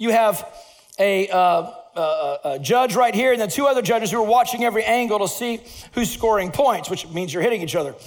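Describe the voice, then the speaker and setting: Amid noticeable background noise and audible room echo, a man with a high voice sounds animated, his intonation lively. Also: moderate pace. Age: 50s. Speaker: pastor. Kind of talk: sermon.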